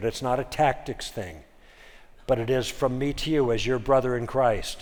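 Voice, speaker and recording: Audible room echo surrounds a man talking at a moderate pace and medium pitch. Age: 70s. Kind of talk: lecture. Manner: animated.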